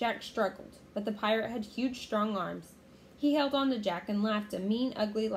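This is a natural reading voice.

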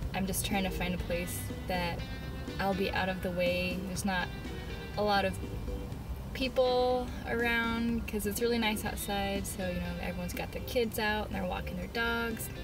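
A woman talks at a moderate pace with long, frequent pauses. The sound is dry with no echo, and clear music plays in the background. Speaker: artist vlogger. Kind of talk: casual vlog chat. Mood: cheerful, laughing. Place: car. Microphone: phone near.

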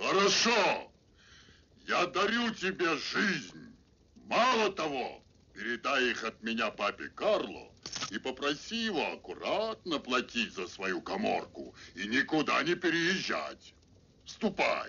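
A man does a put-on character voice at high pitch, moving at a fairly slow pace with long, frequent pauses. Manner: menacing, greedy.

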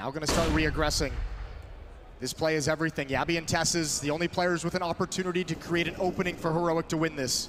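A man with a fairly high pitch speaks very fast in a monotone, flat intonation while noticeable background noise runs underneath. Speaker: esports caster, analyst. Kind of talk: live esports commentary. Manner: analytical, quick-paced.

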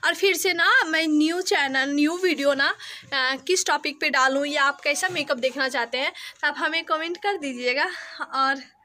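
Using a raised, projected voice with a bright, sharp tone, a woman speaks at a high pitch and moderate pace with ordinary pitch variation and long, frequent pauses. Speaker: vlogger. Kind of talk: casual vlog chat. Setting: at home. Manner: talkative.

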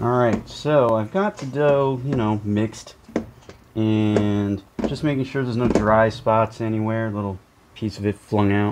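A man talks fairly slowly with ordinary pitch variation while noticeable background noise runs underneath. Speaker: home baker, video creator. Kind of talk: cooking tutorial. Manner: casual, hesitant with fillers. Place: kitchen.

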